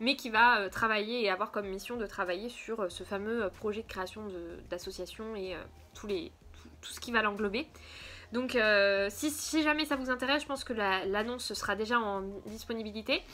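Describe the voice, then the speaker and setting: The voice has a bright, sharp tone. It moves at a moderate pace with ordinary pitch variation. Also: woman, fairly high pitch for a woman. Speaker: craft vlogger. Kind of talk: casual vlog. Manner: hesitant, many fillers.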